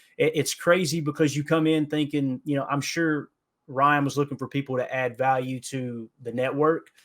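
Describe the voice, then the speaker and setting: In an Appalachian accent, a man speaks at a fairly high pitch with monotone, flat intonation. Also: moderate pace. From Kentucky, Appalachia. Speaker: football podcaster. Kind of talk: casual podcast interview. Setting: remote call.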